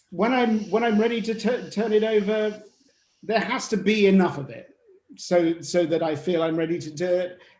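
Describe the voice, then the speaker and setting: Audible room echo surrounds a voice with an English accent and ordinary pitch variation. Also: man, high pitch for a man, moderate pace. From England (Norfolk). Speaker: novelist. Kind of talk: panel discussion. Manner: halting, repeats words.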